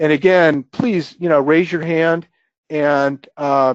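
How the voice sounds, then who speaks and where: A man with a normal speaking voice, fairly high in pitch, at a fairly slow pace. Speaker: software presenter. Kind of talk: webinar software demo. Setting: webinar.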